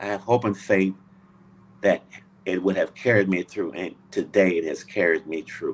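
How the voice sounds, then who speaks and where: Pausing long and often, a man speaks in a fairly low pitch with fairly even intonation. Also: moderate pace. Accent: Louisiana. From US South, Louisiana. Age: 70s. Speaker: Navy veteran. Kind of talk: interview. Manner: halting.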